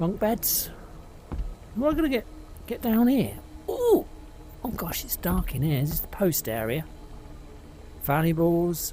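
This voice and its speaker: A man speaks at a fairly slow pace, leaving long, frequent pauses. Noticeable background noise runs behind him. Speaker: VR gaming youtuber. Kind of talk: gameplay commentary.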